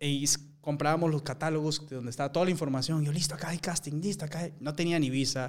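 Monotone and flat, a man talks very fast at a fairly high pitch. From Peru. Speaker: actor. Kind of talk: casual interview conversation.

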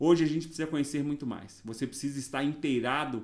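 Talking at a very fast pace, a man keeps fairly even intonation at a fairly high pitch. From Bahia, Brazil (Ilhéus region). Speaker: nurse and nursing council president. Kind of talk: podcast interview.

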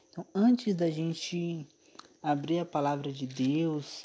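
A man's voice with ordinary pitch variation. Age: 20s. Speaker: Adventist devotional podcaster. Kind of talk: devotional Bible talk. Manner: halting, many fillers.

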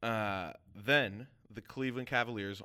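With a normal speaking voice, a man of fairly low pitch talks with ordinary pitch variation in a very clean recording with a silent background. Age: 20s. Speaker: sports podcast host. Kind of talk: casual chat.

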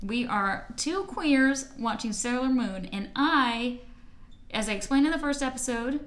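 A woman's fairly high voice at a fairly slow pace, with audible room echo. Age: 30s. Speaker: podcast host. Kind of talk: casual chat.

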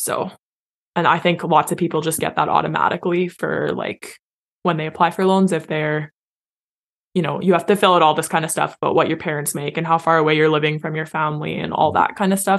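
This woman has a very deep, low pitch and a Canadian accent with vocal fry. She talks at a very fast pace with flat, monotone intonation. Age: 20s. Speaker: teacher. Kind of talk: casual chat.

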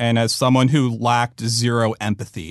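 Medium pitch from a male speaker. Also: quiet background. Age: 30s. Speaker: documentary director. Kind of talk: interview. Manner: similar to his brother's voice.

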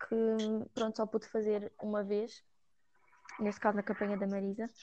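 This woman has a European Portuguese accent. She speaks at a moderate pace with a fairly high pitch. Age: 20s. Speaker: psychology student, party member. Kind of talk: casual chat.

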